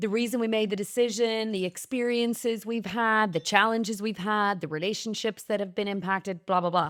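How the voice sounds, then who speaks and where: Talking at a fairly quick pace with hardly any pauses, this speaker has an Irish accent and fairly even intonation. The recording is very clean, with a silent background. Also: woman, fairly high pitch for a woman. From Ireland. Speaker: podcast host, singer and actor. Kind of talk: casual chat.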